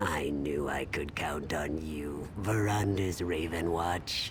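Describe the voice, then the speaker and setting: A man's put-on character voice, very deep and low, at a fairly slow pace over loud background noise. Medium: video game. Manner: insinuating, persuasive.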